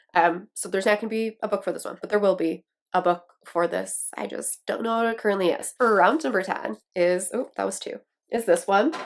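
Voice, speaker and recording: A woman with an American accent speaks with vocal fry and ordinary pitch variation. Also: medium pitch for a woman, fairly quick pace. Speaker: book YouTuber. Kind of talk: casual vlog talk to camera. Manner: animated.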